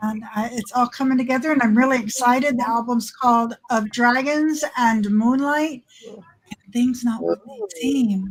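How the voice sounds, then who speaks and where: A woman talks at a fairly slow pace, her high pitch showing ordinary variation. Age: 60s. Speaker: pagan singer-songwriter. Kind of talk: casual chat.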